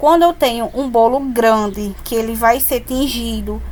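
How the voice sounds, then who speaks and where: Over noticeable background noise, a woman with a high-pitched voice speaks at a moderate pace. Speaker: cake decorator. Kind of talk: tutorial.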